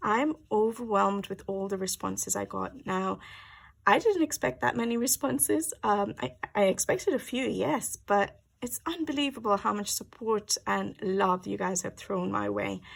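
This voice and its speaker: A woman is soft-spoken. Her pace is moderate. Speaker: colouring channel vlogger. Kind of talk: casual chat. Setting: at home, early morning. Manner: hesitant, many fillers.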